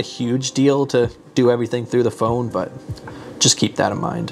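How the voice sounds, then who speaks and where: Against noticeable background noise, a man speaks at a moderate pace with a medium pitch. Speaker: tech YouTuber reviewing gear. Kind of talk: product review vlog. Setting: outdoors. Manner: casual, at normal low volume. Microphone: wireless lavalier mic far from camera.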